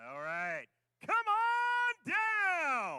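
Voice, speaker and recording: This put-on character voice sits at an extremely high pitch. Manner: cheerful, announcer-like.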